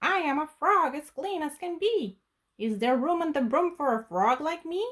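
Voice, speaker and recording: In a squeaky put-on character voice, the speaker keeps a moderate pace. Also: woman, high pitch for a woman. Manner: polite, earnest.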